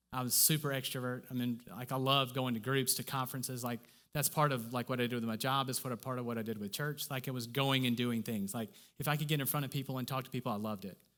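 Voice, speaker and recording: This man talks at a very fast pace, medium in pitch with fairly even intonation. The recording is very clean and the background silent. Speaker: church speaker. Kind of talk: sermon. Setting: church stage with audience. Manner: effortful speech; conversational, repetitive fillers.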